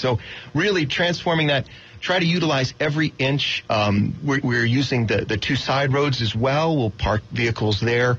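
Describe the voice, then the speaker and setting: Noticeable background noise sits behind a man with an American accent. His pitch shows ordinary variation. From Florida. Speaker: car show director. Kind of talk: radio interview.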